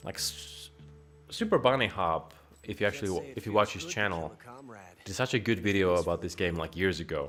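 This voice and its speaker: With music in the background, a man with a Finnish accent speaks at a fairly quick pace, broken by long, frequent pauses. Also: fairly low pitch for a man, ordinary pitch variation. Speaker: gaming streamer. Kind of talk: casual gameplay commentary. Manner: animated.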